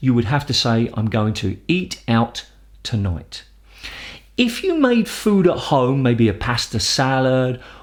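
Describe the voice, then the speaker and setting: A somewhat breathy man with a British accent and very wide pitch swings. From London. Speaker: English teacher. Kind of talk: educational explanation to camera.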